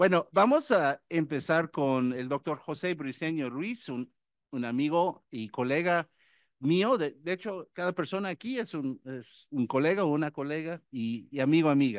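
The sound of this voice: Lively intonation and a moderate pace from a man with a fairly high pitch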